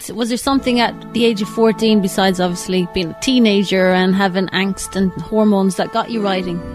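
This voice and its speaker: Music runs in the background as a woman talks at a fairly quick pace. Her intonation is fairly even, with hardly any pauses. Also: medium pitch for a woman. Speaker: radio presenter and interviewer. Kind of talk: radio interview host.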